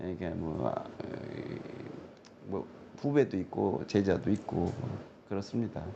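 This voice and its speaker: Amid noticeable background noise, a man with a very deep, low pitch speaks at a very slow pace with lively intonation. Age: 70s. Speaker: fortune-telling scholar. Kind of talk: interview. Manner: halting.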